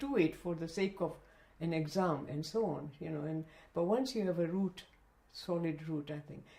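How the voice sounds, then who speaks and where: A woman with a Gujarati accent talks at a moderate pace with lively intonation amid noticeable background noise. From Zanzibar, East Africa. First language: Kutchi. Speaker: retired educationist and librarian. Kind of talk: oral history interview. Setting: interviewee's home.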